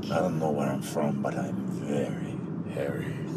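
A man puts on a character voice, speaking at a moderate pace amid loud background noise.

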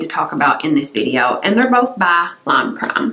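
In a room with audible echo, a woman speaks in a relaxed tone with very wide pitch swings. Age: 40s. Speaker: beauty YouTuber. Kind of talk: casual vlog-style product review. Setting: home filming room. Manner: relaxed, chatty. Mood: enthusiastic, chatty. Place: home room.

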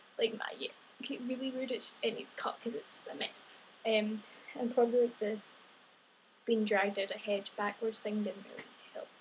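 Over light background noise, a woman with a Scottish accent talks at a moderate pace with fairly even intonation. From Scotland. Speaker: guest vlogger. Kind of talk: casual talk to camera. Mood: self-deprecating, giggly. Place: home room. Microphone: webcam.

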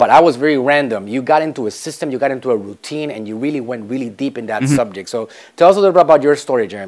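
A man races along at a very fast pace with hardly any pauses, lively intonation and big swings in loudness. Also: quiet background. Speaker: show host. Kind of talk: interview host talk. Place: studio. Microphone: lapel.

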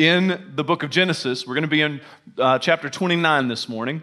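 The man's tone is bright and sharp. Behind him, the background stays quiet. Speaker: pastor preaching. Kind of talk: sermon. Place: hall.

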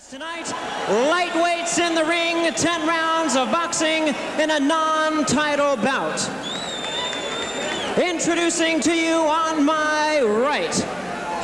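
Words come out at a very slow pace, and noticeable background noise runs underneath. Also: man. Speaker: ring announcer. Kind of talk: boxing ring announcement. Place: stadium. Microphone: handheld.

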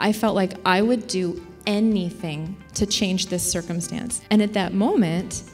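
A woman with an American accent talks at a moderate pace and medium pitch. Her pitch varies an ordinary amount, with faint music in the background. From US small town. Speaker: keynote speaker. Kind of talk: keynote speech mixed with interview. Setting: conference stage with audience. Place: hall. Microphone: handheld.

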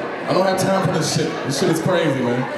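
A man's voice amid loud background noise and audible room echo. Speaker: stand-up comedian. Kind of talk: stand-up comedy set. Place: bar. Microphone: handheld.

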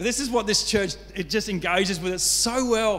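A man's high-pitched voice at a moderate pace, fairly bright in tone, with ordinary pitch variation

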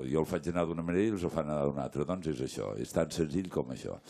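A man with a very deep, low pitch and a dark, mellow tone uses ordinary pitch variation in a quiet background. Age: 60s. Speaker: stage actor. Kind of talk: post-show talk with audience; panel discussion answer. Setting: theatre stage with audience. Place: stage. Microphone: handheld.

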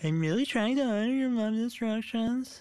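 In a put-on character voice, the speaker talks at a moderate pace. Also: female-sounding voice, fairly high pitch for a woman. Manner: mocking.

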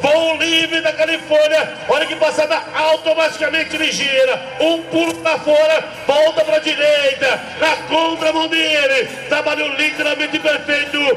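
The speech moves at a fairly slow pace. Light background noise and audible room echo are present. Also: man, extremely high pitch for a man. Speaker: rodeio commentator. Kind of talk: sports commentary. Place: stadium.

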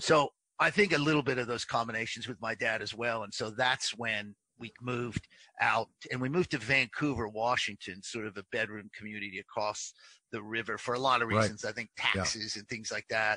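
A man of medium pitch with an American accent, fairly quick pace, bright, sharp tone, fairly even intonation and big swings in loudness, over a quiet background. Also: dry sound with no echo. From Pacific Northwest, USA. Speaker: sports broadcaster. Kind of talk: interview answer. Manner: casual, conversational. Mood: reflective, relaxed storytelling.

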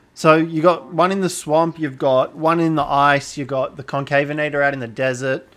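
A man with an Australian accent, fairly high-pitched, at a moderate pace with hardly any pauses. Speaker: gaming streamer. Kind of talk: casual chat. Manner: animated.

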